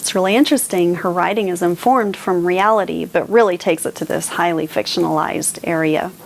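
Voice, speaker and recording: A woman's fairly low voice at a very fast pace with hardly any pauses, over noticeable background noise. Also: ordinary pitch variation. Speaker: booktuber, book reviewer. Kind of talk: casual book discussion to camera. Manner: animated.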